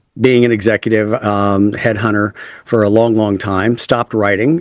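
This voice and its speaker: At a moderate pace, a man with a Texan accent speaks at a fairly low pitch. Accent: Texan American English. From West Texas. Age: 50s. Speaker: author and speaker. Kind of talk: interview conversation. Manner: casual, halting with fillers.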